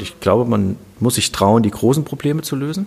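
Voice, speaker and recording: A man talks fairly quickly as noticeable background noise runs underneath. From Germany, Kassel (northern Hesse). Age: 50s. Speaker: serial startup founder. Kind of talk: interview.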